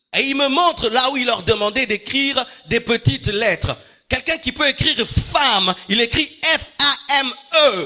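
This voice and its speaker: Over music in the background, a man speaks in a raised, projected voice at an extremely high pitch and a fairly slow pace. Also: ordinary pitch variation. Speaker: pastor. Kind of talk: sermon. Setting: church. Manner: carefully articulated; repetitive emphatic.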